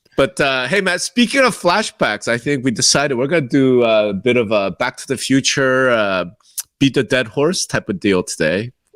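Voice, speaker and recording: Recorded dry and close with no echo, a man speaks at a moderate pace while his pitch swings very widely. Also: medium pitch for a man. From Korea, moved to the US as a child. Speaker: real estate podcast co-host. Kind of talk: casual chat.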